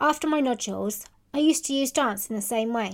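On a very clean recording with a silent background, a woman speaks in a high voice. Her pace is moderate and her pitch variation ordinary. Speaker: podcast host and dog groomer. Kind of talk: scripted intro then interview chat.

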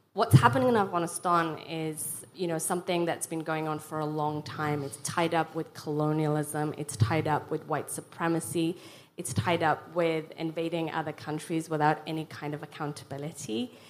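Her pitch very deep and low, a woman speaks at a moderate pace with hardly any pauses and big swings in loudness. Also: ordinary pitch variation. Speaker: refugee charity founder. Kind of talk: panel discussion. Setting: stage with audience.

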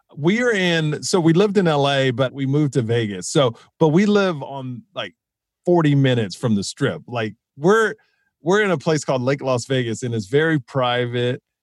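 Against a quiet background, a man with an unremarkable speaking voice and an American accent talks at a moderate pace, his fairly high pitch carrying lively intonation. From Houston, Texas. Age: 40s. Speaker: comedian. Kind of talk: casual chat.

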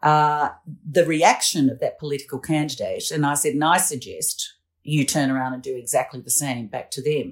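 The speaker has an Australian accent. The recording is very clean, with a silent background. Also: moderate pace. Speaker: political commentator. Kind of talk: casual chat.

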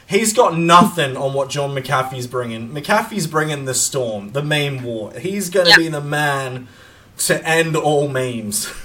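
With an Australian accent, a man of fairly high pitch speaks at a fairly slow pace with lively intonation. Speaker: podcast host. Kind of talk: casual chat. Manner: animated.

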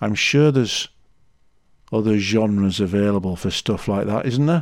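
Against a quiet background, a man with a Yorkshire accent speaks with lively intonation. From Leeds, Yorkshire. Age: 50s. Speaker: podcast host, amateur runner. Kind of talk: solo podcast monologue. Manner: casual, chatty.

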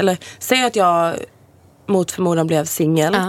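Here a woman speaks at a fairly slow pace. Her pitch is fairly low, with ordinary variation. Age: 20s. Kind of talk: casual chat.

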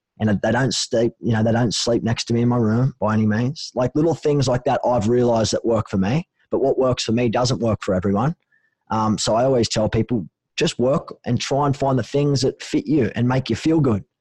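A man with an Australian accent speaks at a fairly quick pace and a medium pitch with ordinary variation, his somewhat breathy voice dark and mellow in tone, very even in loudness, and recorded dry and close with no echo. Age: 30s. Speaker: mental health charity co-founder. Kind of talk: casual interview.

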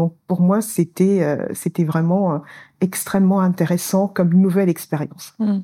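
On a very clean recording with a silent background, a woman with a dark, mellow tone and medium pitch talks at a fairly slow pace, her loudness very even and her intonation fairly even. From Senegal, Saint-Louis. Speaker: finance specialist. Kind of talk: interview. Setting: recorded live in Dakar.

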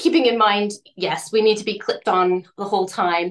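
A woman with a normal speaking voice speaks at a moderate pace and fairly high pitch. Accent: Canadian. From Canada. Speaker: ocean rower. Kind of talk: interview.

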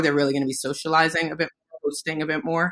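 Very rapid speech with a New York accent. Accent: New York, urban American. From the Bronx, New York. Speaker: cocktail mixer co-founder, branding. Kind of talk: interview conversation.

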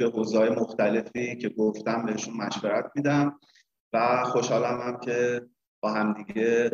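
The speaker talks at a fairly slow pace in a flat, monotone intonation. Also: man, medium pitch for a man. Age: 40s. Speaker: business consultant and trainer. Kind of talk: interview.

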